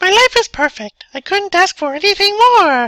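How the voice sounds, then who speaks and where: A squeaky, put-on character voice that sounds female, pitched extremely high, at a moderate pace. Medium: read story.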